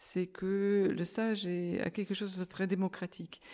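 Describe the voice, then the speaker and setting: A woman talks at a very slow pace. Her voice has a dark, mellow tone and a medium pitch. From Germany. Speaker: amateur recorder player. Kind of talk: group discussion. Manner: halting.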